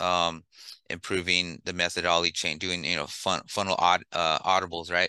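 Against a quiet background, a man with an American accent speaks at a very deep, low pitch, his bright, sharp tone held in a flat monotone. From East Los Angeles, California. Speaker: entrepreneur. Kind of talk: interview. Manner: halting, many repetitions.

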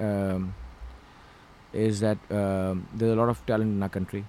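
At a moderate pace, a man talks in a fairly low pitch with a dark, mellow tone. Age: 40s. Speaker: filmmaker and actor. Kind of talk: casual interview chat. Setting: studio.

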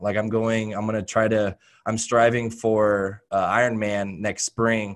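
An ordinary speaking voice with an American accent at a moderate pace. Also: man, very clean recording, silent background. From Oregon, US. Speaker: fitness coach. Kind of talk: casual interview.

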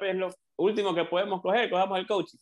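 A man speaks at a fairly quick pace. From Ecuador. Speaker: coach. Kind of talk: interview.

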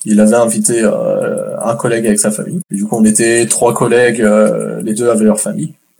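A man with a plain, everyday voice speaks at medium pitch and a moderate pace with lively intonation. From France. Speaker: guest. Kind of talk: casual chat.

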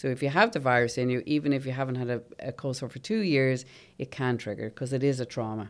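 In a very clean recording with a silent background, a woman talks at a very fast pace with a very deep, low pitch and ordinary pitch variation. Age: 50s. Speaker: nurse and aesthetic practitioner. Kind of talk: interview.

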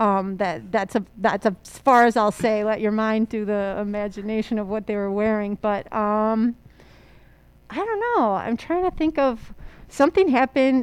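Using a plain, everyday voice, a woman talks at a moderate pace with a fairly high pitch and ordinary pitch variation. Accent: American. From Chicago area, Illinois. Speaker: high school history teacher and volleyball coach. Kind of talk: casual chat.

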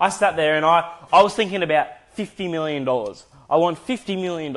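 In an Australian accent, a man talks at a moderate pace with an animated tone and lively intonation. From Australia, Adelaide. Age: 20s. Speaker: video editor and podcaster. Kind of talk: casual monologue.

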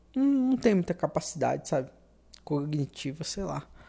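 The voice has a dark, mellow tone and is somewhat breathy. Its pitch swings very widely. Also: woman. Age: 20s. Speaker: podcaster, university student. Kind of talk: casual monologue. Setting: at home. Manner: halting, hesitant.

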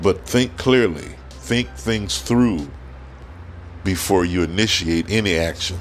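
Over music in the background, a man with a very deep, low voice speaks at a very slow pace with lively intonation. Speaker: podcast host. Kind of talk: opinion monologue. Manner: frequent filler words and hesitations.

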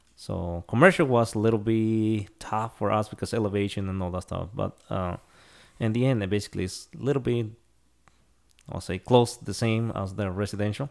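A man with a Spanish accent, fairly low in pitch with ordinary variation, at a fairly quick pace on a very clean recording with a silent background. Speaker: concrete crew scheduler. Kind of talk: casual interview. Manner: halting.

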